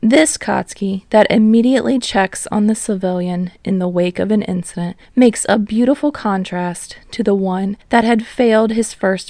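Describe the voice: The speaker is a woman with a slightly mellow tone. Her pitch varies in an ordinary way.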